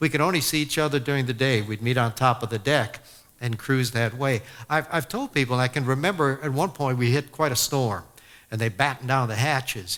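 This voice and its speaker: A man's normal speaking voice at medium pitch and a fairly quick pace. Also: ordinary pitch variation. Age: 60s. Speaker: sportscaster. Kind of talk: testimony. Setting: church with audience. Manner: conversational, with many fillers.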